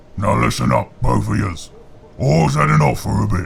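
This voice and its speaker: A man's put-on character voice, very deep and low, raspy and gruff, at a moderate pace over clear background noise. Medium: read story. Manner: gruff, bellowing.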